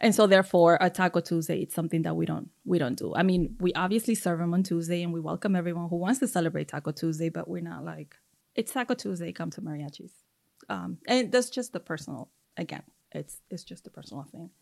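In a very clean recording with a silent background, a woman speaks at a very fast pace with vocal fry. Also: fairly low pitch for a woman, big swings in loudness. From Mexico. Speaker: chef and restaurant owner. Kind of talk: casual interview.

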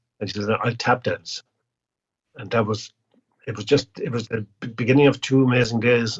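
A man with an Irish accent and a medium pitch speaks at a moderate pace in a somewhat breathy voice, with monotone, flat intonation, big swings in loudness and long, frequent pauses. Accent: Irish (Clare). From Ireland, County Clare. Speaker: singer-songwriter and chef. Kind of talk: casual interview.

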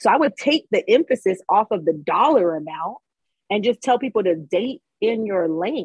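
A woman speaks at a moderate pace in a somewhat breathy, fairly high voice. Her pitch swings very widely. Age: 30s. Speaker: businesswoman in mechanical field, co-host guest. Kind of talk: casual chat.

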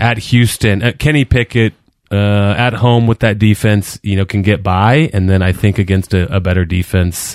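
A man speaks in an ordinary speaking voice, fairly low in pitch and very even in loudness. The recording is very clean, with a silent background. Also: ordinary pitch variation, moderate pace. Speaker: sports betting podcast co-host. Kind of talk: casual chat.

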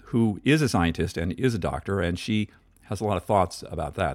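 Speaking at a fairly quick pace, a man with a very deep, low pitch comes through in a very clean recording with a silent background. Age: 60s. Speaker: podcast host. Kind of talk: solo monologue on health topic. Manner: halting, many fillers.

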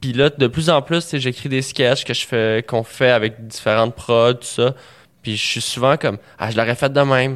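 Using an ordinary speaking voice, a man talks at medium pitch and a moderate pace with fairly even intonation. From Quebec, Montreal. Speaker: comedian. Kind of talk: casual chat.

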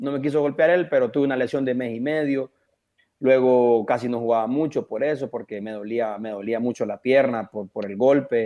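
A man talks at a moderate pace with a plain, everyday voice. His pitch is medium and its variation is ordinary. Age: 30s. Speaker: professional footballer. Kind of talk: radio interview.

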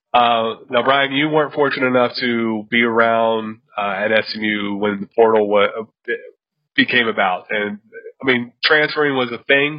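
This man has a normal speaking voice, medium pitch and fairly even intonation, and he talks at a fairly slow pace. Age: 30s. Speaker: college football podcast host. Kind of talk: casual sports chat.

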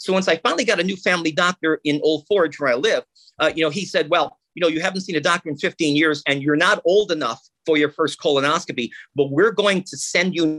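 In a dry, close recording with no echo and a quiet background, a man speaks with an animated tone in a high, bright, sharp voice with ordinary pitch variation. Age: 60s. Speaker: radio host and engineer. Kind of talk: casual chat. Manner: animated, fast talker.

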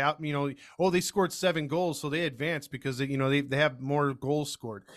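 A man's fairly high, bright, sharp voice at a fairly quick pace in a very clean recording with a silent background. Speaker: baseball podcast co-host. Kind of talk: casual chat.

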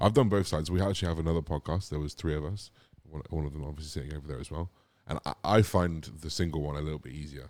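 The speech is very fast, with a southern English accent. Vocal fry runs through it. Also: man, very deep, low pitch for a man, ordinary pitch variation. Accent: English (southern England). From England, Gloucestershire (Cotswolds). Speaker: bodybuilder. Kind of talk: casual chat. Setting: outdoor studio.

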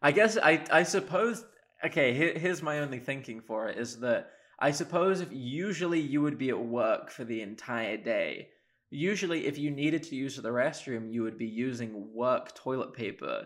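A fairly high-pitched man with a southern English accent and lively intonation. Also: moderate pace. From England, Oxford. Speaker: university student, sports fan. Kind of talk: casual chat. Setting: video call.

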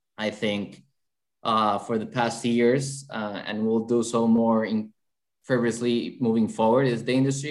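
A man with a Colombian accent speaks fairly slowly in a flat monotone at a medium pitch. The recording is very clean, with a silent background. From Colombia, Bogota. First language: Spanish. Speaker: sports betting lawyer. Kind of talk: interview.

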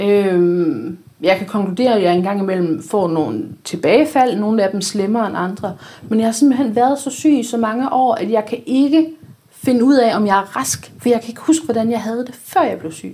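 The speaker uses a normal speaking voice with lively intonation. The pace is moderate. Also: woman, fairly high pitch for a woman. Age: 30s. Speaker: blogger. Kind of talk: casual chat.

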